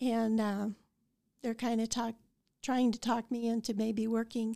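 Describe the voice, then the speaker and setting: A woman speaks with an American accent in a fairly high, dark, mellow voice, her intonation monotone and flat. Her pace is fairly slow, with long, frequent pauses, and the recording is very clean with a silent background. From Colorado (Idalia, eastern plains). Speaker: retired college registrar. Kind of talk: interview. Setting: on campus. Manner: hesitant, many fillers.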